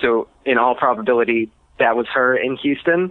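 With ordinary pitch variation and a medium pitch, the man has an unremarkable speaking voice. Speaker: caller. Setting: phone call.

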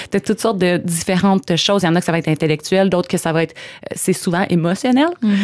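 A woman's fairly low voice, very fast in pace and very even in loudness. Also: ordinary pitch variation. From Quebec, Coaticook (Eastern Townships). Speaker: law graduate, church member. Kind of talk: casual interview. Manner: hesitant, many fillers.

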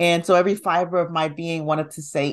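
This woman has an American accent. She keeps a moderate pace. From US South, Alabama. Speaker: physician and hypnotherapist. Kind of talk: interview.

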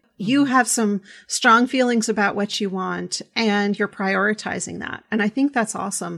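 A woman has a normal speaking voice with a fairly high pitch and ordinary pitch variation. She speaks at a moderate pace on a very clean recording with a silent background. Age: 40s. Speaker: podcast host, sex educator. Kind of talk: casual interview chat.

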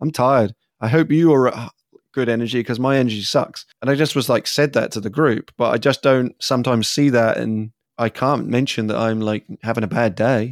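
In a very clean recording with a silent background and a dry, close sound with no echo, a man with an English accent speaks at medium pitch and a fairly quick pace with fairly even intonation. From England. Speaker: facilitator.

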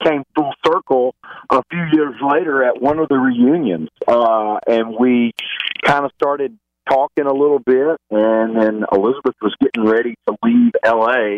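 Very even loudness and ordinary pitch variation, with a Southern US accent. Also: man, medium pitch for a man. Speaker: reality TV alum. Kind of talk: casual interview chat.

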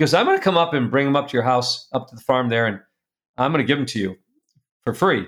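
The recording is very clean with a silent background, carrying a man's normal speaking voice at a fairly high pitch with ordinary pitch variation. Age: 60s. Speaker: publisher and speaker. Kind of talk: casual interview.

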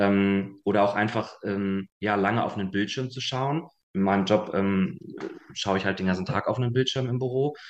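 A man speaks at a fairly low pitch, with ordinary pitch variation and a moderate pace. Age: 20s. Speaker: long COVID patient. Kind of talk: interview. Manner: halting.

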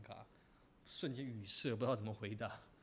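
A man talks at a very fast pace in a somewhat breathy voice. His pitch is medium, with ordinary variation. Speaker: podcast host. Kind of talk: casual chat.

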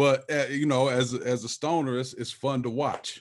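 Over a quiet background, a man with an American accent and an ordinary speaking voice talks at a moderate pace in a medium pitch. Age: 40s. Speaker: cannabis media creator and music producer. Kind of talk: casual chat.

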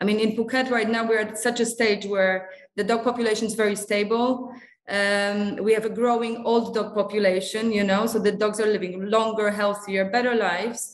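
In a room with audible echo, a woman speaks at a fairly high pitch with a monotone, flat intonation. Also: moderate pace. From Singapore, Polish family. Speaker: veterinarian at an animal welfare charity. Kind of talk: interview. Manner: halting, with fillers and repeats.

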